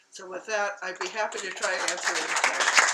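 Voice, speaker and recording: A woman talks while clear background noise runs underneath. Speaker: panel speaker. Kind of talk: presentation.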